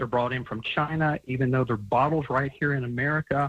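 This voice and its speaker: Speaking in a normal speaking voice, a man uses a medium pitch with ordinary pitch variation at a fairly quick pace, in a dry, close sound with no echo. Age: 60s. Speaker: supplement company founder. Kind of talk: radio interview.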